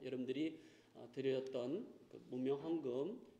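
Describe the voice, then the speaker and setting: There is audible room echo around a man's voice. He speaks at a medium pitch with ordinary pitch variation. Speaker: pastor. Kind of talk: church announcements; sermon. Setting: church. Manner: halting, many fillers.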